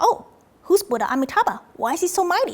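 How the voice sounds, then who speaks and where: A woman talks very fast in a put-on character voice. Her pitch is extremely high and squeaky. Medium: solo performance.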